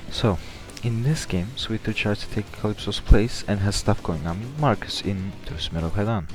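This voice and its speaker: A man at a fairly low pitch and moderate pace, in a strong non-native accent, with music in the background. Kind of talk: video game theory commentary.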